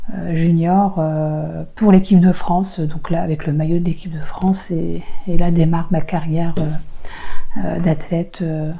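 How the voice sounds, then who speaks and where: Over noticeable background noise, a woman with a fairly low pitch speaks in a flat monotone at a fairly slow pace with hardly any pauses. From Roubaix, northern France. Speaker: race walker, former elite athlete. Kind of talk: interview answer.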